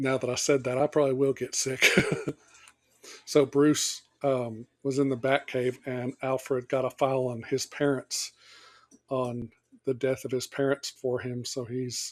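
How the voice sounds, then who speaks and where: A man's medium-pitched, flat, monotone voice at a fairly slow pace. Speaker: movie commentary youtuber. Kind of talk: movie commentary. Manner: casual, hesitant with fillers.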